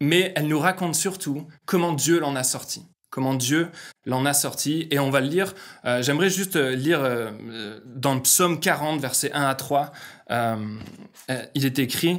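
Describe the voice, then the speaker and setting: This man has a slight northern French accent and a fairly high pitch with ordinary variation. He talks at a fairly slow pace, and room echo is audible. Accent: slight northern French (ch'ti). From northern France. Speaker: pastor. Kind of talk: sermon. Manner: halting, many fillers.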